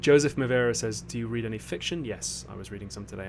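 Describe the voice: The speaker is a man with vocal fry. He talks at a fairly quick pace.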